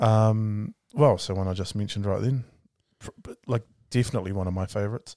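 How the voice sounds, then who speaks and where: A man's fairly low, dark and mellow voice with a New Zealand accent, fairly quick and fairly even in intonation, with big swings in loudness and a dry, close sound with no echo. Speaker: podcast host, minister. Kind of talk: casual chat.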